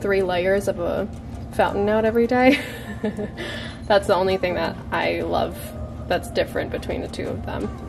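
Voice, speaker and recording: Her pace is moderate. This woman's voice has noticeable background noise behind it. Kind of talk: casual product review. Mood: cheerful, laughing.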